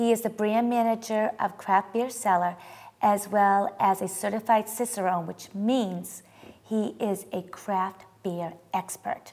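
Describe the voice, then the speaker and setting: Using an unremarkable speaking voice, a woman with an American accent speaks at a fairly slow pace, her medium pitch carrying fairly even intonation. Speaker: cooking show host and interviewer. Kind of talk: show hosting and interviews.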